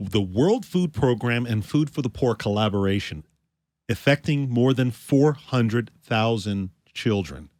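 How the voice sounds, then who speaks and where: Here a man talks at a fairly slow pace in an ordinary speaking voice of medium pitch. His intonation is lively, and the recording is very clean with a silent background. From Canada. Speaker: podcast co-host. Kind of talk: podcast interview.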